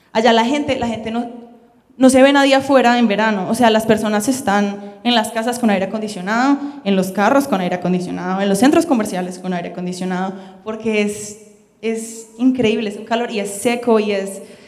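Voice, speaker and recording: Music plays in the background as a woman with a fairly high voice and ordinary pitch variation speaks amid audible room echo. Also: fairly quick pace. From Colombia. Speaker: missionary and Bible school student. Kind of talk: sermon. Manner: fast.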